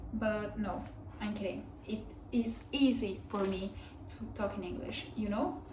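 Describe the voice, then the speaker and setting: A woman with a non-native accent and medium pitch speaks at a fairly slow pace with ordinary pitch variation and long, frequent pauses, over noticeable background noise and audible room echo. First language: not English. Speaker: vlogger. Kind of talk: casual chat. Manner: hesitant, with fillers.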